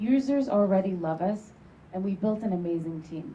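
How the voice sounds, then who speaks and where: A woman's dark, mellow, somewhat breathy voice at a fairly quick pace. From Turkey. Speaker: startup founder. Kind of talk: sales pitch.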